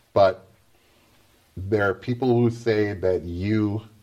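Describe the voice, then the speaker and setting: Very slowly, a man speaks in a dark, mellow tone with ordinary pitch variation. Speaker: talk show host. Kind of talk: comedy talk show hosting, banter. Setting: studio with live audience. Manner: animated, joking.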